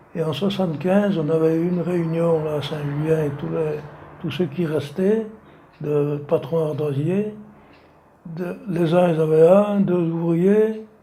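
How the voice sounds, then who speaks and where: Audible room echo surrounds a man with a fairly high pitch. He talks at a very slow pace with fairly even intonation. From France, Savoie (Maurienne valley). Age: 80s+. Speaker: retired slate quarry worker. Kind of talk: oral history interview. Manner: halting.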